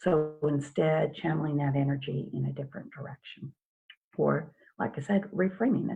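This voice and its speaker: The speaker talks at a moderate pace with vocal fry and ordinary pitch variation. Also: woman. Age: 60s. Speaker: hypnotherapist. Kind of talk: interview.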